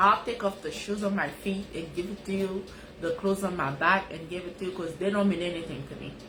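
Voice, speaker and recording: Noticeable background noise and audible room echo surround a woman's voice. She talks at a fairly quick pace with an animated tone and medium pitch. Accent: Haitian. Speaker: life coach, live streamer. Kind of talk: casual live-stream talk.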